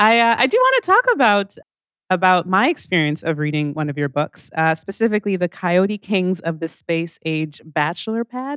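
A woman with lively intonation talks at a moderate pace in a plain, everyday voice. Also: medium pitch for a woman. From Calgary, Alberta, Canada. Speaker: moderator, radio host and comedian. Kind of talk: on-stage interview. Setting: stage with audience.

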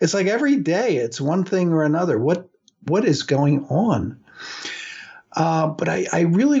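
A man with a fairly high pitch. He has a normal speaking voice at a moderate pace. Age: 60s. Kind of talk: radio talk monologue on religion. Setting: radio studio.

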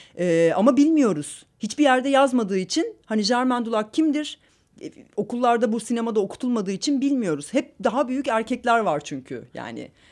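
Speaking at a moderate pace with lively intonation, a woman with a fairly high pitch is heard on a very clean recording with a silent background. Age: 30s. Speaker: film director. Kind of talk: casual interview. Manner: halting, many fillers.

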